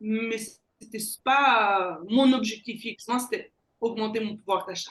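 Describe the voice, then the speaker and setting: With a Belgian accent, a woman speaks at a very slow pace in a fairly high pitch, keeping her intonation fairly even. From Belgium. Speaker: sales closer, entrepreneur. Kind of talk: interview.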